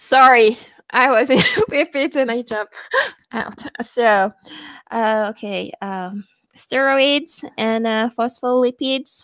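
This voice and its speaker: A woman with a non-native accent speaks in a high voice at a very slow pace, with long, frequent pauses. The sound is dry and close with no echo, and her pitch varies in an ordinary way. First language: not English. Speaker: student. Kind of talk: casual chat.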